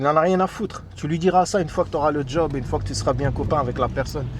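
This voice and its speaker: The man speaks at a fairly quick pace. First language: English (says he is mostly anglophone), also Darija (speaking French). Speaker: immigration advice youtuber. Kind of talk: casual advice monologue. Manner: hesitant, many fillers and repetitions.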